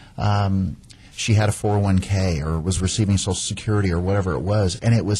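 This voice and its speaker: Over noticeable background noise, a man talks at a very deep, low pitch with ordinary pitch variation. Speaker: radio host, real estate agent. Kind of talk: radio talk show. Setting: radio studio. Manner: fast.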